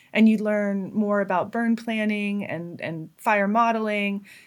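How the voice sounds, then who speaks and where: A woman with an American accent has an unremarkable speaking voice at medium pitch. She talks at a fairly slow pace in a very clean recording with a silent background. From rural far Northern California (Trinity County). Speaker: fire adviser. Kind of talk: interview conversation.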